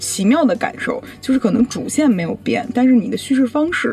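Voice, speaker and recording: A woman speaks at a fairly quick pace with high pitch and lively intonation. Noticeable background noise is present. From Beijing, China. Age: 20s. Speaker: blogger and entrepreneur. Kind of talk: interview.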